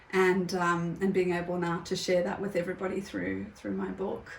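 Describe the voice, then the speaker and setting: A woman speaks at a moderate pace in a fairly low, flat, monotone voice over noticeable background noise. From South Africa. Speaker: yoga teacher and writer. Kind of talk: interview answer.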